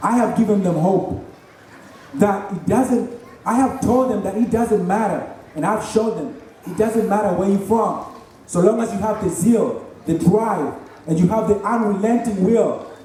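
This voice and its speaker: With audible room echo and noticeable background noise, a man speaks at a high pitch and a fairly slow pace, leaving long, frequent pauses. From Kenya, Nairobi. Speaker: graduating student. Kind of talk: commencement speech. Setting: stage with audience.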